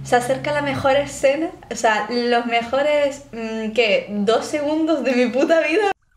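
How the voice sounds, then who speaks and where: This woman talks at a fairly slow pace with a high pitch, her loudness very even and her pitch variation ordinary. Audible room echo surrounds her voice. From Spain. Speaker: YouTuber. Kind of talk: reaction video commentary. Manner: animated. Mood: joking, animated. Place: home room.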